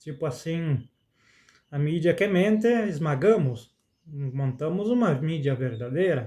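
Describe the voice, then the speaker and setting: A man with a fairly high pitch, a dark, mellow tone and lively intonation, at a very slow pace. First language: Spanish (speaking Portuguese). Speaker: spiritual content creator, songwriter. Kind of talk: spoken reflection monologue. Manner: halting.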